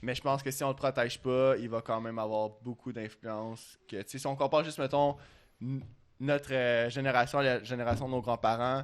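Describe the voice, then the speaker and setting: A man speaks at medium pitch with a Quebec accent. His pace is moderate and his intonation monotone and flat. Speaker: language student. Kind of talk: casual chat.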